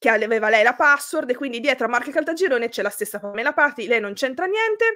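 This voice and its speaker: A woman speaks at a high pitch and a very fast pace, with hardly any pauses. Her tone is bright and sharp, her intonation lively, and the background quiet. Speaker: youtuber, live show host. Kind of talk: casual chat, live stream storytelling. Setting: live stream. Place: home room.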